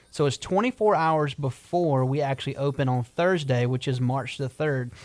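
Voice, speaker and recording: Speech in a South Carolina accent comes at a fairly quick pace. The intonation stays fairly even. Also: man. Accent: Southern US (South Carolina). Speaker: restaurant owner. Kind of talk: radio interview. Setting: radio studio.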